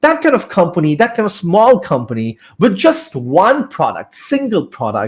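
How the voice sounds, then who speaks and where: A man with a Bengali accent, fairly slow in pace, with very wide pitch swings. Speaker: business studies teacher. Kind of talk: lecture. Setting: online live class. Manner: hesitant, many fillers.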